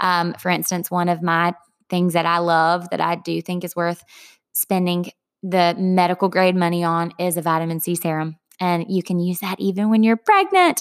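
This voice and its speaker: A woman with a Southern US accent speaks at a moderate pace with a fairly low pitch. Her intonation is monotone and flat, and the sound is dry and close with no echo. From US South, Dillon, South Carolina. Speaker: podcast host. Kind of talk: scripted narration; casual chat. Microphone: echo, rough audio, no usual equipment.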